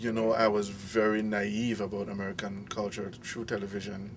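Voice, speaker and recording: With a Belizean accent, a man speaks in a monotone, flat intonation amid audible room echo. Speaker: international student. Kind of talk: interview.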